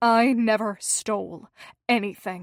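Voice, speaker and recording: A woman uses a put-on character voice, fairly high and shrill. She talks at a fairly slow pace with fairly even intonation. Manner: slow, piercing, deliberate.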